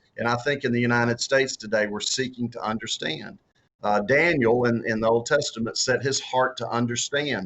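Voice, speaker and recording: A man speaks with a strong Southern US accent and ordinary pitch variation. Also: medium pitch for a man, fairly quick pace. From US South. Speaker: author and former political candidate. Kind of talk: interview. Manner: halting, many repeated words and fillers.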